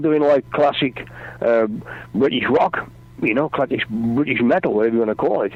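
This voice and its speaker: A man at medium pitch talks at a moderate pace with ordinary pitch variation over noticeable background noise. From English Midlands. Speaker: rock singer and author. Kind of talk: radio interview. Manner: halting.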